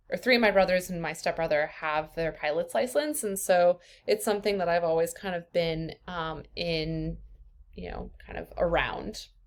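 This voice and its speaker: The speaker has a plain, everyday voice with an American accent, a moderate pace, ordinary pitch variation and big swings in loudness. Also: woman, fairly low pitch for a woman. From US Midwest, rural Iowa. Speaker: college instructor. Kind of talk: course introduction video. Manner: casual, many fillers.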